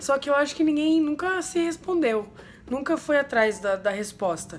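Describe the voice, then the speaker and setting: A woman's high-pitched voice with very wide pitch swings at a moderate pace, against noticeable background noise. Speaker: umbanda religious youtuber. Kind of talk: casual explanatory vlog.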